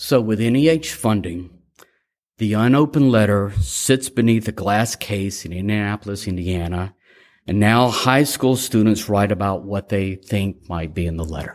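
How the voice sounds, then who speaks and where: A man with an American accent speaks at a moderate pace, fairly low in pitch with ordinary pitch variation. The recording is very clean, with a silent background. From US South. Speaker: grant-making agency chairman giving a speech. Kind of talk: formal speech to an audience. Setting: stage with audience. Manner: formal, hesitant with frequent fillers.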